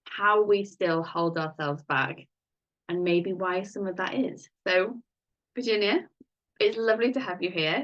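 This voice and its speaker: A woman with a British accent speaks at a fairly slow pace, with long, frequent pauses and ordinary pitch variation. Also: medium pitch for a woman. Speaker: podcast host, life coach. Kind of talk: interview.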